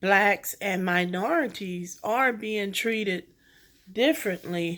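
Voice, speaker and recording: The speaker is a woman with a medium pitch. Her pitch shifts in an ordinary way. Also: very clean recording, silent background. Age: 60s. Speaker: covid survivor telling her story. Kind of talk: personal testimony. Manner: halting.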